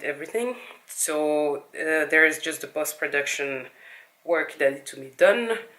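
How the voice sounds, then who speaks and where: A woman with a non-native accent and a very deep, low voice speaks at a moderate pace. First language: not English. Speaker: video blogger and interviewer. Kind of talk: casual vlog talk to camera.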